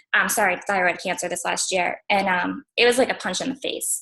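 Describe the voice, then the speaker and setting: Bright and sharp in tone, the voice races along at a very fast pace with ordinary pitch variation. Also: woman. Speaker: fitness business coach. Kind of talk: testimony. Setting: livestream video call.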